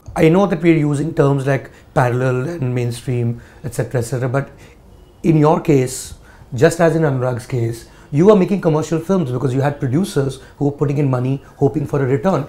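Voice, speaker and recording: A man's somewhat breathy voice, dark and mellow in tone, fairly high in pitch, with ordinary pitch variation and a fairly quick pace. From India. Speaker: journalist interviewer. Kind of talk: interview. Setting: director's office. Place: home room.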